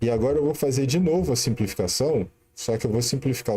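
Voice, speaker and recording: Speaking at a moderate pace, a man sounds somewhat breathy. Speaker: math teacher. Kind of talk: live-streamed lesson. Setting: live stream.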